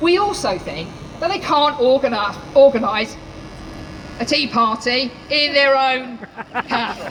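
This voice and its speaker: A woman shouts loudly in a high pitch with lively intonation. She goes at a fairly slow pace with long, frequent pauses over noticeable background noise. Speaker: teachers' union official. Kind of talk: rally speech. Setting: outdoor rally with crowd. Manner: loud, shouting; impassioned.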